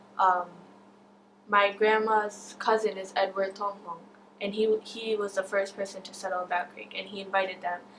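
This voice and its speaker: A woman with an American accent speaks at a medium pitch and a moderate pace, in monotone, flat intonation. Her loudness swings widely over noticeable background noise. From West Michigan, US. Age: young. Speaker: Burmese-American community member, store owner. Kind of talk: interview testimony. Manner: casual, frequent fillers.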